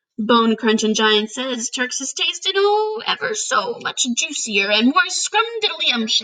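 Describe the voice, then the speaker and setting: A woman puts on a loud, high-pitched character voice with very wide pitch swings. She keeps to a fairly slow pace with hardly any pauses. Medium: read story. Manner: loud, mangled grammar.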